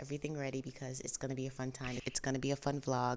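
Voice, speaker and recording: A woman's voice with a very deep, low pitch. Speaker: lifestyle vlogger. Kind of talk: casual vlog talk to camera.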